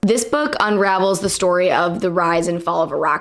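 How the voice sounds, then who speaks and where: Over noticeable background noise, a woman talks at a moderate pace. Her voice sits at a medium pitch with ordinary variation. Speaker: book reviewer. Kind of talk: casual talk to camera.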